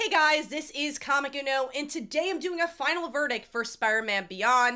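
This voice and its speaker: A woman's raised, projected voice, high and bright and sharp, with lively intonation at a moderate pace, on a very clean recording with a silent background. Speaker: comic book reviewer. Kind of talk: video review monologue. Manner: casual, some filler words and repeats.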